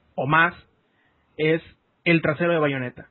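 A man with a Mexican accent talks at a fairly slow pace. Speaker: podcast host. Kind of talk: casual chat.

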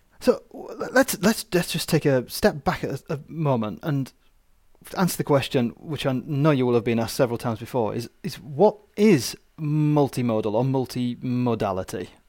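In a very clean recording with a silent background, a man with an unremarkable speaking voice talks at a moderate pace with lively intonation. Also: medium pitch for a man. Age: 40s. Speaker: podcast host. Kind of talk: interview. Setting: studio.

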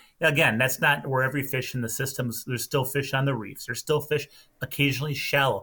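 Speaking at a very fast pace, a man with a Minnesota accent has a fairly high pitch and a bright, sharp tone. His intonation stays fairly even. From central Minnesota. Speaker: lake tourism representative and angler. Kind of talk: casual chat.

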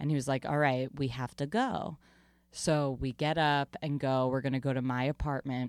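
In a very clean recording with a silent background, a woman speaks with an American accent and a very deep, low pitch. Her pace is moderate, her loudness very even and her intonation fairly even. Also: dry, close sound with no echo. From Long Island, New York. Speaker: comedian and podcaster. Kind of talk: casual interview chat.

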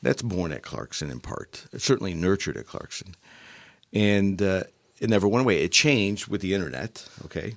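Vocal fry and lively intonation at a fairly quick pace, with big swings in loudness. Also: man, fairly low pitch for a man. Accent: American. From Upstate New York (Utica). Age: 60s. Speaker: retired engineering executive. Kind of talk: interview. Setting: studio.

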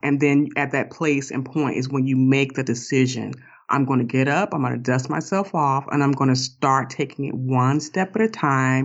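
This woman's voice is very deep and low. Its pitch moves in an ordinary way. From US South. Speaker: author and life coach. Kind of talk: interview podcast. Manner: calm, grounding.

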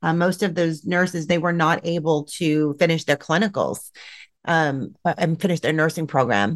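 At a moderate pace, a woman with an unremarkable speaking voice keeps a fairly low pitch with ordinary variation and very even loudness. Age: 40s. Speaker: nurse. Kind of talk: casual chat.

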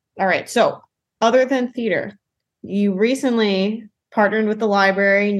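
A woman's medium-pitched voice with an American accent and fairly even intonation. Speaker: library podcast host. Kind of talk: casual interview.

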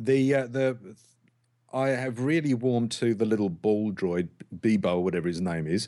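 Over a quiet background, a man with an English accent speaks at a fairly slow pace, leaving long, frequent pauses. His medium-pitched voice has a dark, mellow tone, lively intonation and very even loudness. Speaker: podcast host.

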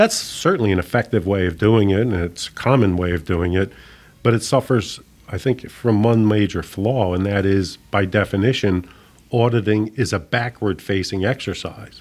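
In a plain, everyday voice, a man with an American accent talks at a moderate pace and fairly low pitch with ordinary pitch variation, on a very clean recording with a silent background. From US Northeast, Philadelphia. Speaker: company president and CEO. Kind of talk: interview.

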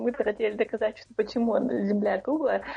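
Here a woman talks at a fairly quick pace. Her voice carries vocal fry. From Chechnya, Shatoy. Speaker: podcast co-host. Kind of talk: casual chat.

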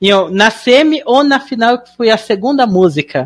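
Her tone animated and her intonation lively, a woman speaks at a moderate pace. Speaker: podcast host. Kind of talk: casual chat.

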